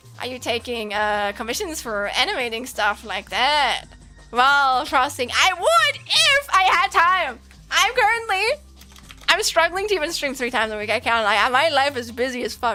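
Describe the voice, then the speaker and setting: A woman's raised, projected voice, high in pitch with very wide swings, over music in the background. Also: moderate pace. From Germany. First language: German. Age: 20s. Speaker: streamer and game developer. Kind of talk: casual livestream chat.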